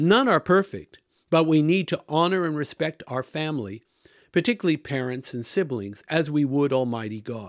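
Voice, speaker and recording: A plain, everyday voice with an American accent speaks at a moderate pace with lively intonation, on a very clean recording with a silent background and a dry, close sound with no echo. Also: man, fairly high pitch for a man. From US, Washington state. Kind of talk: monologue commentary.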